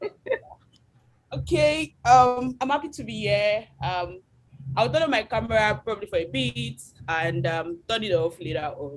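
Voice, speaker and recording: The speaker moves at a moderate pace with very wide pitch swings, long and frequent pauses, and vocal fry. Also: woman, medium pitch for a woman. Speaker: UX designer and researcher. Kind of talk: webinar lecture. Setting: video call webinar.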